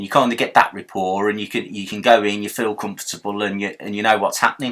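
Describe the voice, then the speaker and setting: Talking at a very fast pace, a man keeps a monotone, flat intonation at a fairly low pitch while his loudness swings widely. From Birmingham, England. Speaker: silver pouring hobbyist youtuber. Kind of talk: tutorial. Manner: casual, repetitive with false starts.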